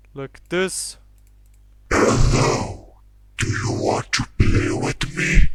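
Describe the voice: A man puts on a character voice at a medium pitch. He speaks very slowly, with long, frequent pauses.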